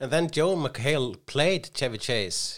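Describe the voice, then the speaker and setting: The speaker has an Icelandic accent, a moderate pace and ordinary pitch variation. The recording is very clean, with a silent background. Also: man. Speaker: comedian and podcast co-host. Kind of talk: casual chat. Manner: halting, many restarts.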